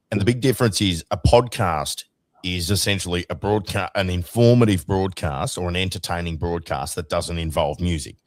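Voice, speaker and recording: On a very clean recording with a silent background, a man with an Australian accent talks at a moderate pace in a very deep, low pitch with ordinary variation. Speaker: radio host. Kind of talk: casual chat.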